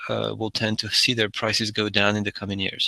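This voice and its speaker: His intonation stays flat and monotone. The man talks fairly quickly. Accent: French. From France. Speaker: energy storage consultant. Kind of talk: webinar presentation. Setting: online webinar. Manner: halting, many fillers and restarts.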